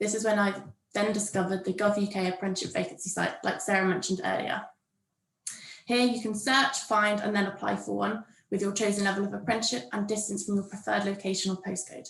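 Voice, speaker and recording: A woman with a southern English accent, medium pitch and a very fast pace. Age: 20s. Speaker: university administrator, former apprentice. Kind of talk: prepared talk at a workshop. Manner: read from a script.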